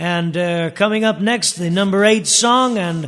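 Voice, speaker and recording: Over noticeable background noise, the speaker talks with an American accent. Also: man. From Chicago, US Midwest. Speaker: oldies radio show host. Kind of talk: radio dj patter, oldies countdown show. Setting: studio. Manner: upbeat, animated showman delivery; chatty, informative, rattling off music history.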